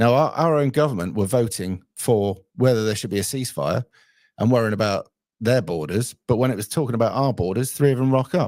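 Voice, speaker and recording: Fairly quick speech from a man with an English accent, ordinary pitch variation, in a very clean recording with a silent background. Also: medium pitch for a man. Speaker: livestream host taking callers. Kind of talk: casual live stream chat.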